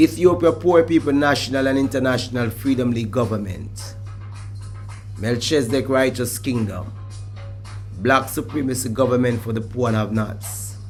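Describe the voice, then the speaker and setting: A man with a Jamaican accent talks at a moderate pace and medium pitch, with ordinary pitch variation. Music plays in the background. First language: Jamaican Patois. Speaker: Rastafarian reasoner. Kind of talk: formal document reading.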